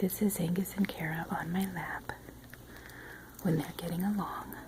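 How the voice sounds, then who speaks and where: Soft-spoken delivery moves at a moderate pace over noticeable background noise. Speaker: pet owner vlogger. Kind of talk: casual home video narration. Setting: at home, dogs on her lap. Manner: quiet, soft-spoken.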